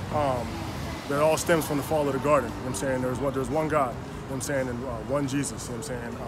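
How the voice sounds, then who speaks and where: Over loud background noise yet with a dry sound and no echo, a man of medium pitch talks at a very fast pace in a monotone, flat way. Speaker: street preacher. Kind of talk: casual street preaching to camera. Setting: outdoors on a street. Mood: earnest, conviction. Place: street. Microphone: phone near.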